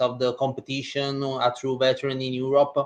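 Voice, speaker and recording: A man speaks with an Italian accent at a moderate pace. His medium-pitched voice stays monotone, with flat intonation. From Italy. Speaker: basketball reporter. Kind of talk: casual podcast discussion. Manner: some hesitations.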